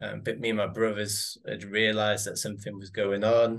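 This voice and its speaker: A man with an English accent talks at a fairly quick pace in a fairly low voice. His intonation is monotone and flat, over a quiet background. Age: 30s. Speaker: physiotherapist and father. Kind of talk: casual chat. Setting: video call.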